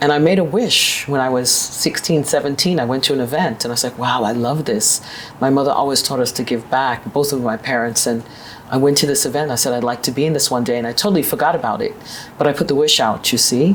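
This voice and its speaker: Over noticeable background noise, a woman with a New York accent talks very fast in a very deep, low pitch with ordinary pitch variation. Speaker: business executive. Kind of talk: interview.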